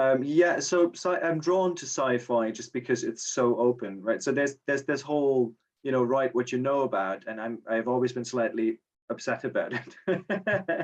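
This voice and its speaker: Speaking with a German accent, a man keeps a medium pitch, a moderate pace and ordinary pitch variation. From Germany. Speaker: short story writer, contest winner. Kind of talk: casual interview. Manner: halting, many repetitions. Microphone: connection issues.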